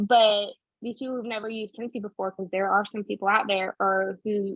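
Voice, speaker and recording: A woman with a fairly high pitch talks at a very fast pace. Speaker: direct sales consultant. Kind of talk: online training session.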